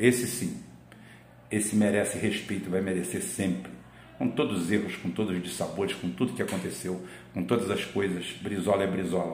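There is audible room echo and noticeable background noise. A man speaks at a moderate pace in an animated tone, his pitch fairly low with ordinary variation. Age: old. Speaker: political commentator. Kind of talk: political commentary monologue.

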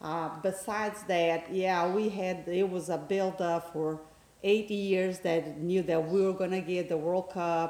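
A woman with a Brazilian accent speaks slowly-ish, at a fairly slow pace, with a medium pitch and monotone, flat intonation. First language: Portuguese. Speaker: guest, football fan. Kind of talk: casual interview chat about soccer.

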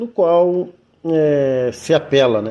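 A man speaks at a very slow pace with a fairly high pitch. His tone is dark and mellow, and his intonation is lively. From southern Brazil, Rio Grande do Sul countryside. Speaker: quilombola community leader and activist. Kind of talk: interview answers, historical account. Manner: halting, many filler words.

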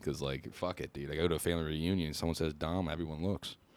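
Someone with an American accent speaks at a fairly quick pace in monotone, flat intonation. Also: man. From Pennsylvania, Harrisburg area. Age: 20s. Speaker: comedian. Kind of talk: casual chat. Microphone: not coming in at first, level issues.

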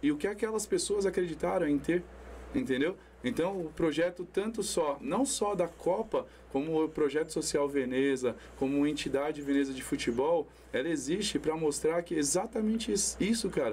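Here is a man with a plain, everyday voice. He speaks at a moderate pace with a fairly high pitch. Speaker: amateur football tournament organizer. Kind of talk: casual chat. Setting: studio.

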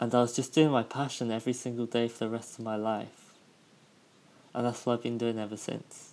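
A man talks with a British accent at a fairly quick pace. His medium-pitched voice has monotone, flat intonation. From United Kingdom. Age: 20s. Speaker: podcast host. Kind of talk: casual solo podcast monologue.

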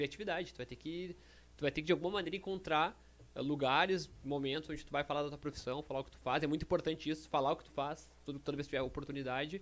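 Talking at a very fast pace, a man uses a fairly high pitch. His loudness swings widely. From Rio Grande do Sul, Brazil (Canoas). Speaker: financial market professional. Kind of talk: casual chat. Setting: studio.

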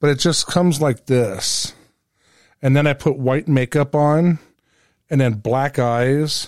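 Speech comes at a very slow pace with long, frequent pauses. Loudness stays very even and the pitch varies in an ordinary way. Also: man, fairly high pitch for a man. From US, small railroad town. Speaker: podcast host. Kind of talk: casual chat. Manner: animated.

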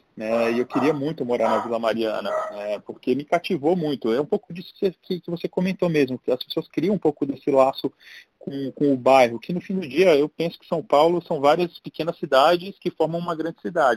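In an unremarkable speaking voice, a man with fairly high pitch talks at a fairly quick pace, showing ordinary pitch variation and big swings in loudness, and the sound is dry and close with no echo. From Brasília, Brazil. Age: 40s. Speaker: entrepreneur and tech executive. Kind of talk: casual interview.

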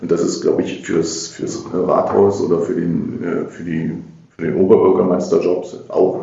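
There is audible room echo and noticeable background noise. A man talks at a fairly slow pace. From Magdeburg, eastern Germany (Saxony-Anhalt). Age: 50s. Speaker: politician, mayoral candidate and city councillor. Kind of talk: podcast interview. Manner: hesitant, many filler sounds.

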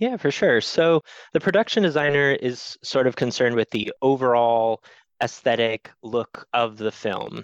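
Over a quiet background, a man with an American accent and a normal speaking voice talks at a moderate pace and medium pitch with ordinary pitch variation. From US Northeast, rural Maine. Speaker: production designer. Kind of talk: interview conversation.

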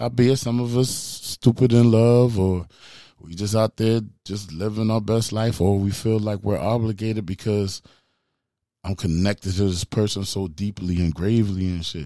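At a moderate pace, a man with a fairly low pitch and a dark, mellow tone speaks with fairly even intonation in a very clean recording with a silent background. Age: 40s. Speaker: podcast host. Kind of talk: casual monologue. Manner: halting.

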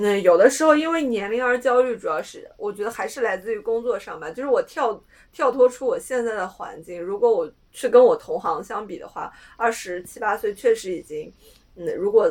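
A woman talks at a fairly quick pace with lively intonation in an unremarkable speaking voice. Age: 20s. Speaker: podcast co-host. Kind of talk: casual chat.

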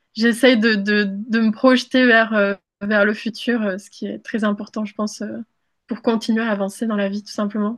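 In a quiet background, a woman speaks at a fairly slow pace in a somewhat breathy voice. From moved between countries as a child, born in Mexico. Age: 20s. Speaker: content creator. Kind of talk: interview.

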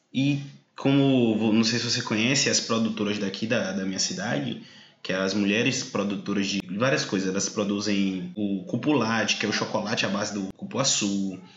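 A man at a fairly low pitch and a moderate pace, with ordinary pitch variation, hardly any pauses, audible room echo and noticeable background noise. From southern Bahia, Brazil. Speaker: podcast host. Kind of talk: interview.

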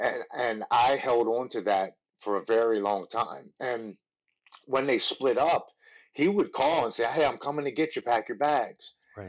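A man with a Baltimore accent speaks fairly slowly at a medium pitch, his pitch varying in an ordinary way. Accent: Baltimore American. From Baltimore, Maryland. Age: 30s. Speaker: former Marine and MMA fighter in recovery. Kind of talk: personal testimony in interview.

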